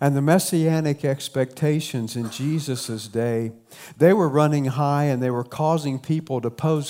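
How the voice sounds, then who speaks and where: Speaking with a southern Ohio accent, a man talks at a fairly slow pace and medium pitch with ordinary pitch variation, on a very clean recording with a silent background. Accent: Appalachian southern Ohio, noticeable. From southern Ohio, Appalachian. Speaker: pastor. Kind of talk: sermon. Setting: church.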